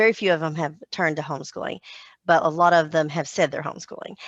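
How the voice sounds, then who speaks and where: In a Southern US accent, a woman speaks with a very deep, low pitch. The background is quiet. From US South. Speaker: homeschooling mom. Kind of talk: podcast interview.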